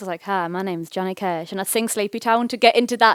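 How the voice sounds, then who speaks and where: Woman with a Teesside accent and ordinary pitch variation, in a very clean recording with a silent background and a dry, close sound with no echo. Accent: Teesside accent, somewhat posh. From northeast England, Teesside (Nunthorpe). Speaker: singer-songwriter. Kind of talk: post-gig interview. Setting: bookshop stage with audience. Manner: hesitant, many fillers.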